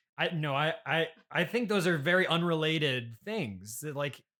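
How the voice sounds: With a fairly bright tone, a man speaks at a moderate pace and a fairly high pitch on a very clean recording with a silent background. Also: ordinary pitch variation.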